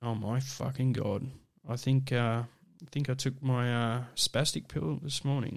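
A man at a fairly slow pace, medium in pitch, with an Australian accent and fairly even intonation. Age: 30s. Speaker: podcast host. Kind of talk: casual solo monologue. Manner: halting, many fillers.

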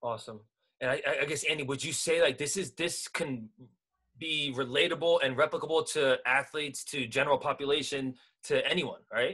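This voice is an unremarkable speaking voice, moving at a fairly quick pace with fairly even intonation. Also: man, fairly high pitch for a man. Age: 20s. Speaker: podcast host. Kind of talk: casual interview.

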